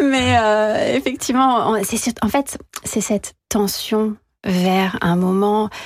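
The speaker is a woman. She uses ordinary pitch variation. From France. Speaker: violinist. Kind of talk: radio interview.

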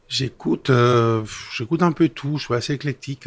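At a moderate pace, someone talks with a Spanish accent in a very clean recording with a silent background. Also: man. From Spain. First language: Spanish (speaking French). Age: 50s. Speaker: business executive. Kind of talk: interview. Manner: halting.

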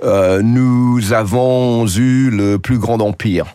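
A man with an English accent, medium-pitched and dark, mellow in tone, with fairly even intonation. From England. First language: English (speaking French). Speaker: journalist. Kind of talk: radio interview. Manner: hesitant, frequent fillers and repetitions.

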